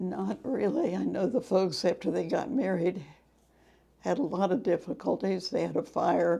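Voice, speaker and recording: With an American accent, a woman speaks at a medium pitch and moderate pace, her dark, mellow tone carrying vocal fry. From Kansas, US. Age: 80s+. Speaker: family member sharing personal history. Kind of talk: oral history interview.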